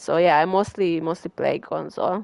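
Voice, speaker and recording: A woman speaks with a strong Hungarian accent. The background is quiet. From Hungary. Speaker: gaming streamer. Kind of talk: live gameplay commentary. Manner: casual, hesitant with fillers.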